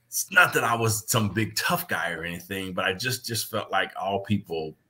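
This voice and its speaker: The man's tone comes across bright and sharp. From Kansas, US. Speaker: former pro football player, players' affairs director. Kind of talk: interview. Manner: repetitive false starts.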